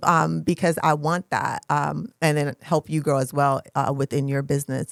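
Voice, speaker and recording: A woman's very deep, low voice with an American accent, at a moderate pace, in a dry, close sound with no echo and a very clean recording with a silent background. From US South, Georgia. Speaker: podcast host. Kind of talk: casual chat.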